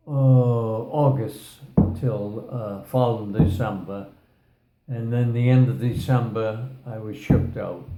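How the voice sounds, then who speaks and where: Speaking at a very slow pace, a man keeps a medium pitch and fairly even intonation. Audible room echo fills the recording. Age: 90s. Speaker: war veteran. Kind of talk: casual chat. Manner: halting.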